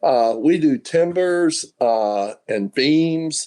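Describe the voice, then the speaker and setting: A man's dark, mellow voice in a Southern US accent, with ordinary pitch variation. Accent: Southern US (Georgia). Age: 70s. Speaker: sawmill owner. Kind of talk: interview.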